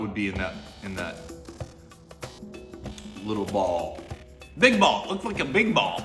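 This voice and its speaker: Over background music, a man with an American accent talks at a moderate pace. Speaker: tea reviewer. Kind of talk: casual talk to camera.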